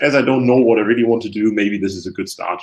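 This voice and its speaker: A man speaks with a German accent. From Germany, Hamburg. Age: 20s. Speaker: university student. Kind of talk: webinar presentation. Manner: hesitant, many fillers.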